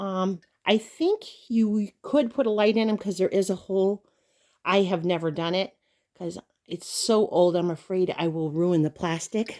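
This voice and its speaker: A woman speaks at a moderate pace in a medium pitch with a gentle, dark, mellow tone. Her pitch varies in an ordinary way. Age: 60s. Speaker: doll collector vlogger. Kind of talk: show-and-tell vlog. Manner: gentle, chatty.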